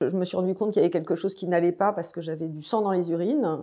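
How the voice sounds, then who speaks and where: A woman is talking, her pitch moving up and down in an ordinary way. Nothing can be heard behind her. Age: 60s. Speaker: cancer patient. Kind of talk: testimony. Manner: hesitant, many fillers.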